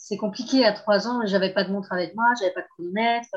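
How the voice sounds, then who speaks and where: A woman speaks at a fairly quick pace with medium pitch and a somewhat breathy quality. Her intonation is fairly even, over a quiet background. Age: 30s. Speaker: abuse survivor sharing her story. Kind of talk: testimony. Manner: halting.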